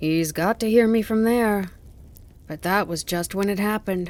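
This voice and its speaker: At a moderate pace, a female-sounding voice performs a put-on character voice. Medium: read story. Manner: chatty, lightly careless.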